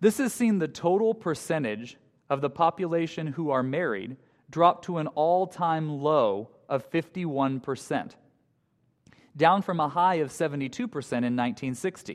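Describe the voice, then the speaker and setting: Over a quiet background, a man with a fairly high pitch speaks in a normal speaking voice at a moderate pace. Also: lively intonation. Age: 20s. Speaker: high school teacher giving a guest sermon. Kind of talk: sermon. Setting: church with congregation. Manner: light humor, conversational.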